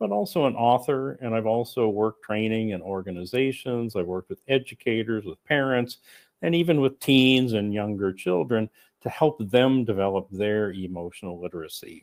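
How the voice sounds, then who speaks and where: A man with an American accent speaks in a plain, everyday voice at medium pitch. His pace is moderate and his intonation lively. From United States. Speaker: coach and author. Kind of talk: conference talk. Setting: remote presentation to conference audience.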